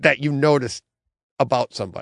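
A man talks in a plain, everyday voice. His pitch is fairly high and his pace moderate. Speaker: podcast co-host. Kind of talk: casual banter podcast. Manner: joking, talkative.

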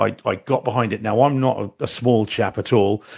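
Against a quiet background, a man speaks in a medium pitch with fairly even intonation. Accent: New Zealand. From New Zealand. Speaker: podcast co-host. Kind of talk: casual chat.

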